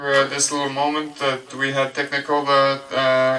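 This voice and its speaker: A man's medium-pitched voice with a French accent, set against noticeable background noise. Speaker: presenter. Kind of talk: presentation to audience.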